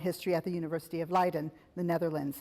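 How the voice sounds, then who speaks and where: A woman speaks with fairly even intonation in a very clean recording against a silent background. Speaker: academic event host. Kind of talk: speaker introduction. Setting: lecture room with audience. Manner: halting, many fillers.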